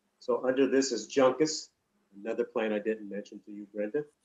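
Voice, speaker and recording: Someone with an American accent talks at a fairly quick pace with ordinary pitch variation. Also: man. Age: 60s. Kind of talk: interview; storytelling. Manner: halting.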